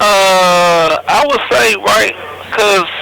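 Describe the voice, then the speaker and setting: A man with a high pitch speaks in a raised, projected voice. Noticeable background noise is present. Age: 20s. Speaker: federal prison inmate. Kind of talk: interview.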